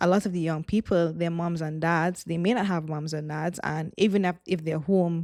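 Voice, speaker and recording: Speaking with a Trinidadian accent, a woman talks at a fairly low pitch and moderate pace with fairly even intonation, in a very clean recording with a silent background and a dry, close sound with no echo. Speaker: former youth pastor, missionary. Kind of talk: casual chat.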